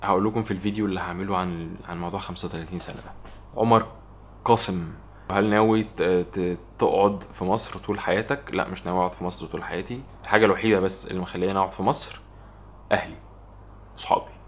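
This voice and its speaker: A man's fairly low voice at a fairly quick pace, with big swings in loudness, long, frequent pauses and fairly even intonation. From Egypt. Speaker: vlogger. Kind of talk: casual Q&A vlog. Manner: fast. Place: home room.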